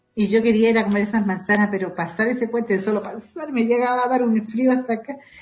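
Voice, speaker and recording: A woman speaks at a very fast pace, her fairly high voice somewhat breathy. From southern Chile, Panguipulli, Valdivia. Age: 60s. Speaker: Mapuche women's network coordinator. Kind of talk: interview. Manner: halting, frequent repetitions.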